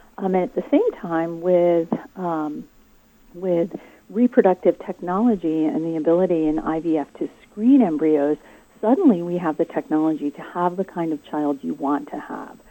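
A woman with a plain, everyday voice speaks at a moderate pace in a fairly low pitch, her pitch varying in an ordinary way while her loudness swings widely. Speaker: seminary professor.

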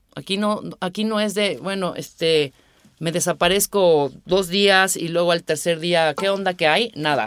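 A woman with a Mexico City accent, her fairly low pitch carrying ordinary variation at a fairly slow pace. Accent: Mexican Spanish (Mexico City). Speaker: radio producer. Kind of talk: casual interview.

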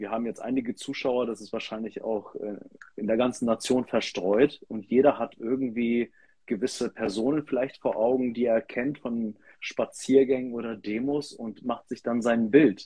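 A man with a dark, mellow tone speaks at medium pitch and a moderate pace, his intonation fairly even while his loudness swings widely. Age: 30s. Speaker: pastor. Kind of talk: casual discussion.

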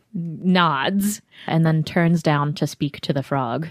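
A woman with an American accent speaks at a very slow pace in a fairly low voice, with ordinary pitch variation and a dry, close sound with no echo. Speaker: podcast host and game narrator. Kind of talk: tabletop roleplaying podcast narration and intro chat.

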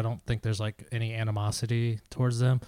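A man of medium pitch mumbles at a moderate pace, with fairly even intonation. The recording is very clean, with a silent background and a dry, close sound with no echo. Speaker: soccer podcast co-host. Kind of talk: casual chat. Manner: mumbling.

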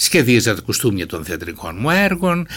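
The voice carries vocal fry and very wide pitch swings at a moderate pace. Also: man. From Greece, Thrace (Alexandroupoli). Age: 70s. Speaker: novelist. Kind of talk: interview.

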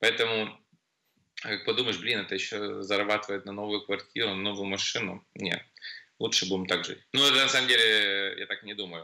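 Here a man talks at a moderate pace, fairly low in pitch, with fairly even intonation. It is a normal speaking voice. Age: 40s. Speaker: nightclub MC. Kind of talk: casual chat.

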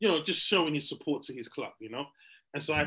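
This is a man with a fairly high pitch. His pitch varies in an ordinary way. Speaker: podcast co-host comedian. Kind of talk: casual banter podcast chat. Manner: animated, joking, laughing.

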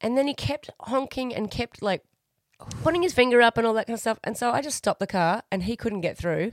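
A woman with an ordinary speaking voice talks at a fairly quick pace with lively intonation, the sound dry and close with no echo. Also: fairly high pitch for a woman, very clean recording, silent background. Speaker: podcast host. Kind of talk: casual chat, banter. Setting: home studio during lockdown. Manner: playful, joking, irreverent.

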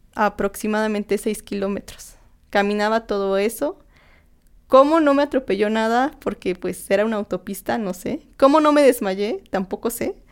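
Here is an ordinary speaking voice from a woman with a fairly high pitch and ordinary pitch variation. She speaks at a moderate pace in a very clean recording with a silent background. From Mexico, Tlaxcala. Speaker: recovered anorexia patient. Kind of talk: personal testimony. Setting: studio, in person.

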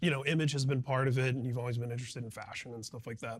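A man with a plain, everyday voice, medium in pitch, with fairly even intonation. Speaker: music journalist. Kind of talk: interview. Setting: at the guest's home.

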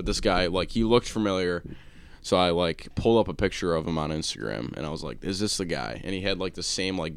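A man's very deep, low voice with vocal fry and an American accent, at a very fast pace with ordinary pitch variation. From Buffalo, New York. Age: 20s. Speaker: podcast host. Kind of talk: casual chat, podcast banter. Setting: studio. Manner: casual, rambling, filler-heavy.

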